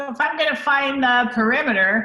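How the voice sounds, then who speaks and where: With a bright, sharp tone, a woman speaks using lively intonation. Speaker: math teacher. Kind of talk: lesson.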